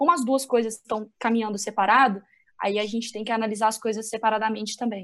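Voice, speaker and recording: Speaking at a very fast pace, a woman has a strong Minas Gerais accent. Her pitch is fairly high and her intonation fairly even. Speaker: sports journalist. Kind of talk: casual discussion. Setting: remote call.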